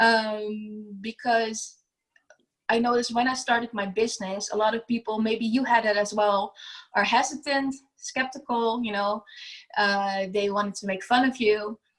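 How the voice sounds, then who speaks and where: In a non-native accent, the somewhat breathy voice moves at a moderate pace with fairly even intonation. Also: woman, fairly high pitch for a woman. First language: not English. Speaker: business owner, declutter coach. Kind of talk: podcast interview. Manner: halting, many fillers.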